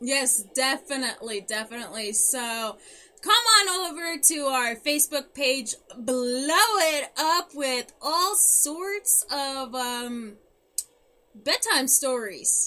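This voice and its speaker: A woman's high, raised, projected voice, bright and sharp in tone, with lively intonation at a very slow pace. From German-speaking family. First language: German. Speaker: podcast co-host. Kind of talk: casual chat. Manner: halting.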